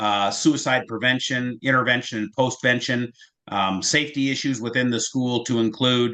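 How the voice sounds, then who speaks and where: Against a quiet background, a man with an American accent speaks at a moderate pace, his medium pitch following fairly even intonation. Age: 60s. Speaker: school safety specialist, former detective. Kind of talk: interview. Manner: halting, many fillers.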